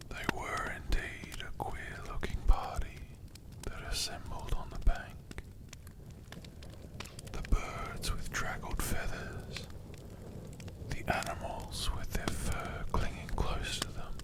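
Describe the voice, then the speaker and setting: The speaker is whispering at a very slow pace with long, frequent pauses. Noticeable background noise runs underneath. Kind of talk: whispered ASMR audiobook reading for sleep. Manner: whispered.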